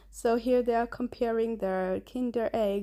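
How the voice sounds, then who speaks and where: With a non-native accent and a dark, mellow tone, a woman speaks at a moderate pace in monotone, flat intonation. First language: Somali. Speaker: vlogger. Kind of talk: casual vlog narration. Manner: halting.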